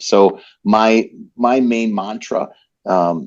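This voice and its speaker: The medium-pitched voice of a man in a quiet background. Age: 60s. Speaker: business leader. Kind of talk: interview. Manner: halting.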